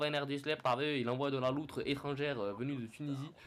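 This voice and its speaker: A man's fairly high voice at a very fast pace. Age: 20s. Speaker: gaming youtuber. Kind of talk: game commentary. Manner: animated.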